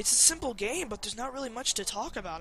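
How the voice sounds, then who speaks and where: A man's raised, projected voice moves at a very fast pace over noticeable background noise. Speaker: video game let's player. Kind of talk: gameplay commentary. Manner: casual, hesitant with many fillers.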